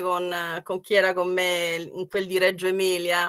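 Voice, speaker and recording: A woman speaks with a bright, sharp tone. Her pace is fairly slow. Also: quiet background. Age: 60s. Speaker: economics professor. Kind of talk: online workshop talk. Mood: warm, often smiling. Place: home room. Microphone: webcam.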